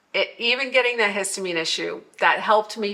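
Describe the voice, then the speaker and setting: Against noticeable background noise, a woman talks at a fairly quick pace with medium pitch. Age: 60s. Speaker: wellness vlogger. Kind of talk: casual monologue vlog. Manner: rambling with fillers.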